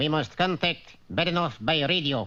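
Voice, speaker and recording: A man does a cartoonish character voice at a fairly high pitch. His pace is moderate. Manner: terse, officious.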